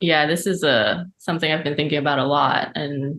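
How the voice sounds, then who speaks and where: A woman with an American accent and fairly even intonation. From Malaysia and New York. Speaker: animator and filmmaker. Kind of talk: interview. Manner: halting.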